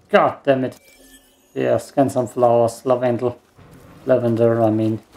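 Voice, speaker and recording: Over noticeable background noise, a man speaks with a German accent at a medium pitch. His pace is moderate and his intonation fairly even. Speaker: gaming YouTuber. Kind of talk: let's play gameplay commentary. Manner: frequent laughter.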